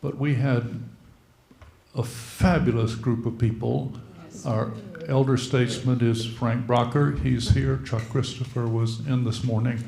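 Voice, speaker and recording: The speech moves at a fairly slow pace with fairly even intonation, over noticeable background noise and audible room echo. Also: man, medium pitch for a man. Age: old. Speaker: retired clergy. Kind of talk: church meeting remarks.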